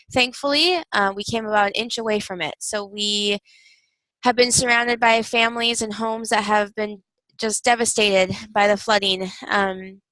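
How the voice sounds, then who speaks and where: A woman with a Wisconsin accent, fairly high in pitch, bright and sharp in tone, at a moderate pace with fairly even intonation. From Wisconsin, US Upper Midwest. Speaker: university instructor. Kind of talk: recorded video lecture. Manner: frequent fillers (um, uh).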